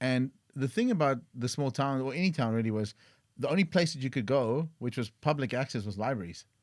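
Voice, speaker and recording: A man speaks with a South African accent at a fairly quick pace. His medium pitch shows ordinary variation on a very clean recording with a silent background. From South Africa, East London. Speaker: tech entrepreneur. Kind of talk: podcast interview.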